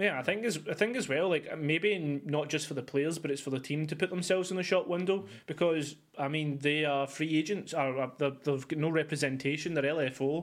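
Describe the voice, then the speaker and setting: Hardly pausing at all, a man talks at a fairly quick pace with ordinary pitch variation. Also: fairly high pitch for a man. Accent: Scottish. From Scotland. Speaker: esports podcast host. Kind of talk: casual chat.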